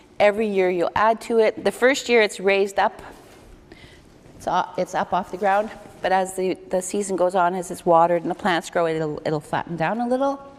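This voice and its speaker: Noticeable background noise sits behind a woman's voice. She speaks at a medium pitch and a moderate pace. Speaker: community food program worker. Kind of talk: lecture.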